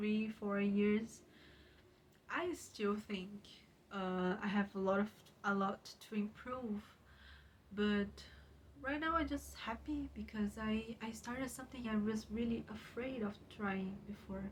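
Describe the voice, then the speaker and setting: A woman with a Portuguese accent speaks at medium pitch with ordinary pitch variation. She takes long, frequent pauses. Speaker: YouTuber and writer. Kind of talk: casual vlog talk. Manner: halting, with many fillers.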